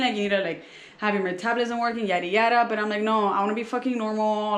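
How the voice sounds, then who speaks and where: There is noticeable background noise. A woman speaks at a fairly high pitch. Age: 20s. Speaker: former personal trainer. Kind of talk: casual vlog talk to camera. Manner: casual, profane.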